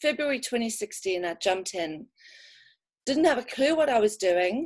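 In a quiet background, a woman speaks at a fairly slow pace with a high pitch and lively intonation. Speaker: network marketing distributor; guest. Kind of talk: personal testimony. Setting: video call. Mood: warm, enthusiastic. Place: home room. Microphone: webcam.

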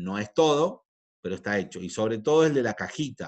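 The speaker's intonation is lively. The pace is moderate. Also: man. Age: 40s. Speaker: chemistry teacher. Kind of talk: lecture. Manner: halting.

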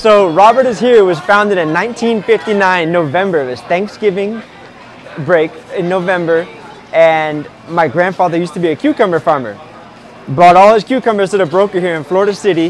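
A man speaks at a high pitch and a moderate pace with ordinary pitch variation. Crowd noise fills the background, and the sound is dry with no echo. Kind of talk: interview answer. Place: market. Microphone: lapel.

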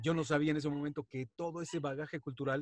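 A somewhat breathy man at a fairly quick pace, in a quiet background with a dry sound and no echo. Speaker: wrestling announcer and radio presenter. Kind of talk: interview answer. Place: home room. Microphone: video call.

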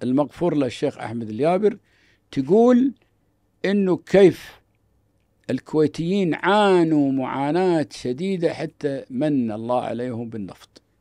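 Against a quiet background with a dry sound and no echo, a man with a dark, mellow, fairly high voice speaks at a very slow pace with very wide pitch swings. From Kuwait. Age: old. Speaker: businessman and organization founder; podcast guest. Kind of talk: casual interview. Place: studio. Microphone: studio mic.

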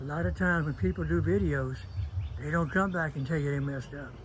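A man speaks at a fairly high pitch with very wide pitch swings. His voice is somewhat breathy, with audible room echo. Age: 80s+. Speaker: beekeeper. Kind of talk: casual video talk.

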